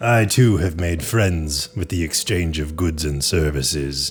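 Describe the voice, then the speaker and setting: Using a put-on character voice, a man speaks at a very deep, low pitch and a fairly slow pace. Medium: actual play. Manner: stilted, formal, deadpan.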